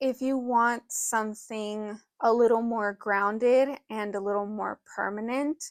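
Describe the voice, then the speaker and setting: Mumbling at a fairly slow pace with hardly any pauses, a woman keeps a fairly high pitch and fairly even intonation in a dry, close sound with no echo. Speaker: witchcraft teacher. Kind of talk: tutorial.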